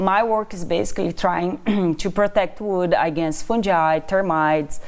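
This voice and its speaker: A woman speaks in a Brazilian accent at a medium pitch. The recording is very clean, with a silent background. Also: ordinary pitch variation, fairly slow pace. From Brazil, Amazon region. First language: Portuguese. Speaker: assistant professor of wood science. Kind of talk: interview.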